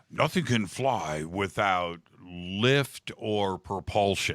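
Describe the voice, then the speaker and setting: A man's put-on character voice, fairly low in pitch and very slow. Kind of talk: formal, authoritative.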